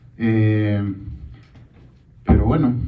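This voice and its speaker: With an Andean accent, a man talks with fairly even intonation, his voice carrying audible room echo and noticeable background noise. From Peruvian Andes. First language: Quechua (speaking Spanish). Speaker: film director. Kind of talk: festival Q&A.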